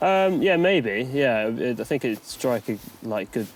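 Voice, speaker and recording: A normal speaking voice with lively intonation. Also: man. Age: young. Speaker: mountain bike rider. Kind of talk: casual chat. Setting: outdoors.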